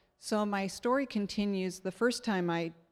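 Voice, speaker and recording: A woman speaks at a fairly slow pace with ordinary pitch variation in an unremarkable speaking voice. The recording is very clean, with a silent background. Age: 60s. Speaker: church member sharing testimony. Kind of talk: testimony. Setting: stage with audience.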